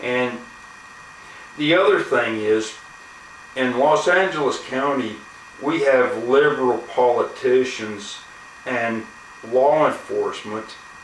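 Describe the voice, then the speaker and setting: At a very slow pace with long, frequent pauses, a man of medium pitch speaks with ordinary pitch variation, amid noticeable background noise and audible room echo. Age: 60s. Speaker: YouTuber, gun owner. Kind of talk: casual vlog monologue. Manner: halting, many fillers.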